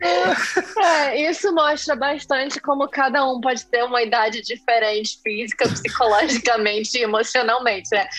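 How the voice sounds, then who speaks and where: Against noticeable background noise, a woman speaks at a high pitch and moderate pace with lively intonation, very even loudness, and hardly any pauses. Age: 30s. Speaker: podcast co-host. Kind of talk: casual chat.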